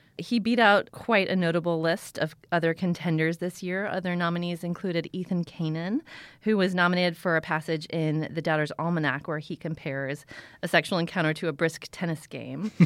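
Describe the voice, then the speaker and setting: A woman has a plain, everyday voice with fairly low pitch and a fairly quick pace. The recording is very clean, with a silent background. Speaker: literary news reporter. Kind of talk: casual chat. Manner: lively, humorous.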